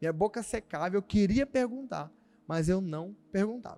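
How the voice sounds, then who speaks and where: A man with a high pitch and a dark, mellow tone shows ordinary pitch variation in a dry, close sound with no echo. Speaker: pastor. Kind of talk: sermon. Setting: church service streamed online. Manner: fast.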